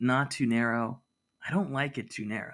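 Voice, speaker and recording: A bright, sharp male tone, very cleanly recorded against a silent background. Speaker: podcast host. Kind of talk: casual banter, comedic chat.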